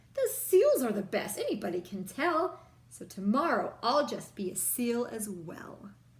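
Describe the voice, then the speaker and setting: A woman puts on a playful character voice at a fairly high pitch. She keeps a moderate pace. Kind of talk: bedtime story. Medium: read story. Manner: bright, playful.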